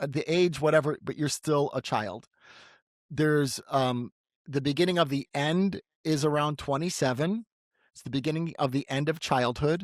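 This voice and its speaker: A man with an unremarkable speaking voice and a fairly high pitch talks at a moderate pace, with ordinary pitch variation and big swings in loudness. The recording is very clean with a silent background, dry and close with no echo. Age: 60s. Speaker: clairvoyant podcast host. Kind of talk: intuitive reading.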